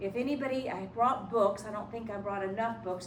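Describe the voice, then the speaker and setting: A fairly quick pace and ordinary pitch variation, with noticeable background noise and audible room echo. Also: woman. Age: 70s. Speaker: hypnotherapist and life coach. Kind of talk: lecture.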